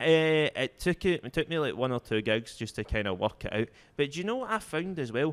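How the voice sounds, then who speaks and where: Speaking fairly quickly in a Scottish accent, a man swings his pitch very widely. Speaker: stand-up comedian. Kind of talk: casual chat.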